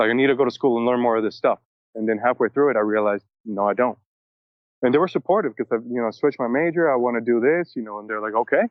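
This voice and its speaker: A man's very fast speech, medium in pitch, with ordinary pitch variation. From Venezuela. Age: 30s. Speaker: musician and producer. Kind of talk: podcast interview. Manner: casual, filler-heavy.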